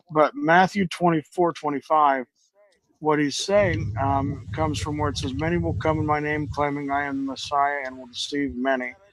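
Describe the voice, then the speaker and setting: In an ordinary speaking voice, a man talks at a moderate pace and fairly high pitch with ordinary pitch variation, in a dry sound with no echo and light background noise. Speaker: debate moderator. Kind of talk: debate moderation. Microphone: video call.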